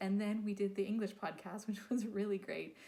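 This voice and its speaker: A woman's voice with a dark, mellow tone. It sounds somewhat breathy. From Quebec. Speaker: podcast host. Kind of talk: podcast intro monologue.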